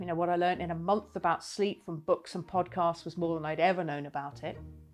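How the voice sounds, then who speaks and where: Over music in the background, the words come at a very fast pace. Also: woman. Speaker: wellbeing keynote speaker. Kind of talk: personal story told to camera.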